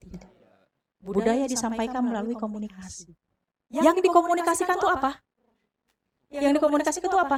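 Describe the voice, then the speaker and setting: A woman's very fast delivery with very wide pitch swings. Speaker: university lecturer. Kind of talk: lecture.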